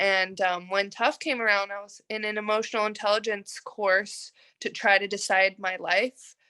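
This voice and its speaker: In a very clean recording with a silent background, a bright, sharp tone carries an American accent at a moderate pace. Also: woman. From Texas. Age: 20s. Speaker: mma fighter. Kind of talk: interview.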